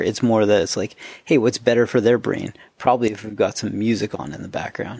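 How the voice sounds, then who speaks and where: At a fairly quick pace, a man with vocal fry talks at a medium pitch with ordinary pitch variation and big swings in loudness. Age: 30s. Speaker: podcast host. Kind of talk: casual interview chat. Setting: remote call.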